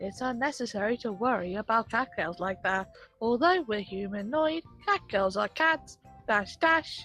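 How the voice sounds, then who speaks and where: Faint music plays in the background as a man uses a put-on character voice, high-pitched, at a moderate pace. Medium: game stream. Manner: shouty, energetic.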